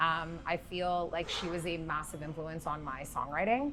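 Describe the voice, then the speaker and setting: A woman talks at a fairly slow pace and fairly low pitch. Her intonation is fairly even, with audible room echo. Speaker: singer-songwriter. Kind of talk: interview. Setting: music festival venue.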